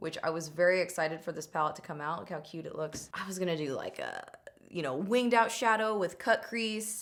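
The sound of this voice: A woman with a fairly low pitch, fairly bright tone, lively intonation and moderate pace.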